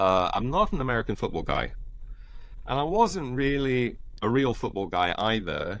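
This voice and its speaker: Speaking in an English accent, a man makes very wide pitch swings. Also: medium pitch for a man, moderate pace. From Southwest England, Glastonbury, Somerset. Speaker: professor. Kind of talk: casual chat. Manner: halting.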